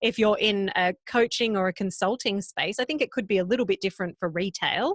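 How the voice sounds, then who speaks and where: A woman with an Australian accent speaks at a moderate pace with lively intonation and a fairly high pitch. The recording is very clean, with a silent background and a dry, close sound with no echo. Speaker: podcast coach. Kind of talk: interview.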